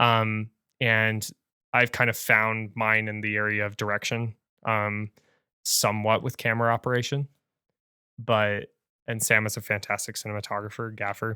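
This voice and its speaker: At a moderate pace and a fairly low pitch, a man speaks in a monotone, flat way with a bright, sharp tone and long, frequent pauses, the sound dry and close with no echo in a very clean recording with a silent background. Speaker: filmmaker podcast co-host. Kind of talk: casual chat. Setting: podcast recording. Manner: rambling with many fillers.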